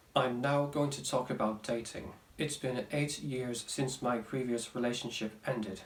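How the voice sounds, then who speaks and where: Noticeable background noise surrounds a man with a medium pitch. He speaks at a moderate pace in a deadpan tone. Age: 20s. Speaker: vlogger. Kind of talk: casual talk to camera.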